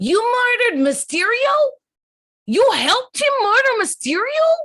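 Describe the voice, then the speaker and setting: This put-on character voice swings very widely in pitch. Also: woman, extremely high pitch for a woman, moderate pace. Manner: shouting.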